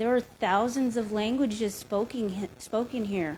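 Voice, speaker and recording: A speaker with a Lakota accent. The intonation stays fairly even. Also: woman. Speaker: Native cultural educator on a panel. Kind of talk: panel discussion storytelling. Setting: live-streamed museum event.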